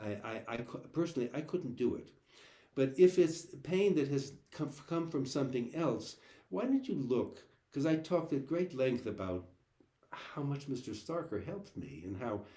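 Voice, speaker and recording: A man with a fairly high pitch speaks at a moderate pace with lively intonation. His voice is somewhat breathy, with a dark, mellow tone. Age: 70s. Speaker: cellist and cello teacher. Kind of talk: live online Q&A chat. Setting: video call. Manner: halting, many repeated words.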